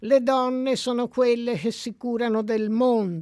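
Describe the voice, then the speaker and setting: Speaking at a very slow pace, a woman uses a fairly high pitch with ordinary variation. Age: 70s. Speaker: sociologist. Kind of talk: radio interview. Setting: radio studio.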